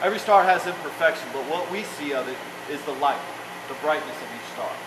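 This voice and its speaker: Over noticeable background noise and audible room echo, a man with an American accent talks at a very fast pace in a high voice, his loudness swinging widely. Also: ordinary pitch variation. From South Texas. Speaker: army soldier giving a personal speech. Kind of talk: prepared speech.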